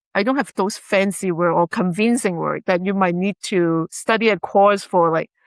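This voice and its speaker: With a Chinese accent, a woman speaks at a medium pitch and moderate pace, with fairly even intonation and hardly any pauses, in a dry, close sound with no echo over a quiet background. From China. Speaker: realtor and investment dealer. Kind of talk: interview.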